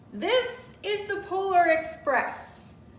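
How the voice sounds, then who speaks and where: An extremely high-pitched, put-on character voice with a slight echo. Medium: read story. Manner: assured, welcoming.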